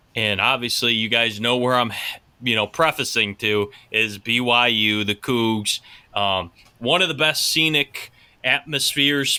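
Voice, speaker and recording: In a bright, sharp tone, a man speaks with very even loudness and ordinary pitch variation. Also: medium pitch for a man, fairly slow pace. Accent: Pittsburgh. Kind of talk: casual, conversational.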